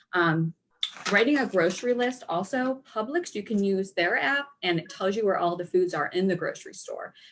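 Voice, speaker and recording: Her intonation is lively. This woman's voice sits at a medium pitch. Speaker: dietitian and nutrition coach. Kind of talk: online workshop presentation. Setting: live video stream. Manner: fast.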